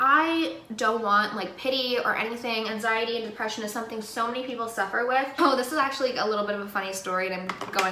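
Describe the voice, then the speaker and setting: Talking at a very fast pace with ordinary pitch variation, a woman is heard amid audible room echo and light background noise. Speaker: beauty vlogger. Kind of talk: casual vlog chat. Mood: earnest, opinionated. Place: home room. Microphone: phone near.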